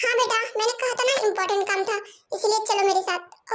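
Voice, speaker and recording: Using a put-on character voice, a woman sounds squeaky at an extremely high pitch, talking at a fairly quick pace with fairly even intonation. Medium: read story.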